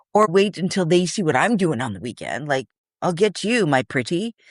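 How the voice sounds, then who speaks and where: A loud woman's voice, fairly low in pitch with vocal fry and very wide pitch swings, at a fairly slow pace over a quiet background. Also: dry, close sound with no echo. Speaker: podcast co-host, manifestation advocate. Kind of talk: casual chat. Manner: animated.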